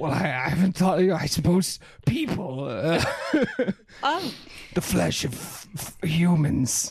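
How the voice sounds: In a put-on, growling character voice at a middle pitch, the speaker delivers a menacing tone at a very slow pace with long, frequent pauses.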